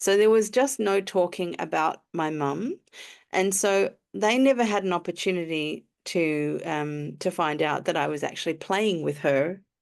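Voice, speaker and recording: A woman at a fairly low pitch with an Australian accent, lively intonation, and a fairly slow pace against a quiet background. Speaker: emotional alignment coach. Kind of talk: interview answer.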